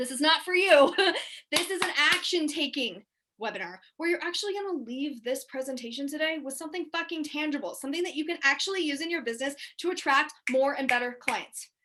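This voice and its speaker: Loud and projected, a woman speaks very fast in a bright, sharp tone with a high pitch and ordinary pitch variation. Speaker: business coach. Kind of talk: webinar presentation. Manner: animated.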